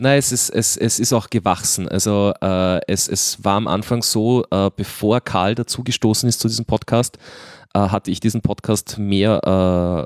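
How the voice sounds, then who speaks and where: A man's fairly low voice with fairly even intonation, in a dry, close sound with no echo. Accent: slight Viennese. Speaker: podcast host. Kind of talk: casual chat. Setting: remote recording link with studio mixer.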